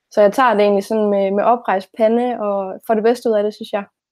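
Her medium pitch and dark, mellow tone mark this woman's voice. She talks at a moderate pace with fairly even intonation. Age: 20s. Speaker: teacher-training student. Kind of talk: conversational interview.

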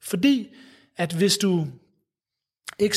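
Lively in intonation, a man talks at a very slow pace. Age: 30s. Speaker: psychologist at a mental health charity. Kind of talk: interview. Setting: city hall room. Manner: halting, many fillers and repetitions.

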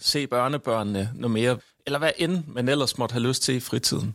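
Speaking in an ordinary speaking voice, a man keeps a moderate pace and a medium pitch with ordinary pitch variation. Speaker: professor, researcher. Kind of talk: discussion.

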